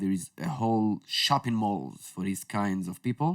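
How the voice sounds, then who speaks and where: With an Israeli accent, a man speaks at a moderate pace and fairly low pitch in a very clean recording with a silent background, the sound dry and close with no echo. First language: Hebrew. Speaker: prepping store owner / workshop instructor. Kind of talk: casual podcast chat. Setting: podcast studio.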